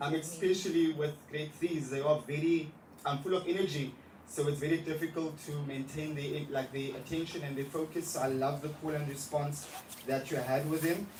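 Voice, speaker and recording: A man talks in a fairly high pitch with monotone, flat intonation at a moderate pace. Noticeable background noise is present. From South Africa, Johannesburg. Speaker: primary school English teacher. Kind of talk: lesson feedback at a teacher observation meeting.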